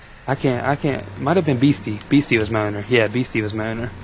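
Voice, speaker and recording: A man speaks with a fairly low pitch. Noticeable background noise is present. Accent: American. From Virginia. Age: 20s. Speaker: gamer, college student. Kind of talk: casual interview.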